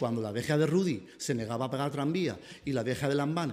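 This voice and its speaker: Someone talks at a fairly quick pace in a very clean recording with a silent background. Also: man. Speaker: city councillor. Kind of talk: press conference. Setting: press conference. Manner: fast.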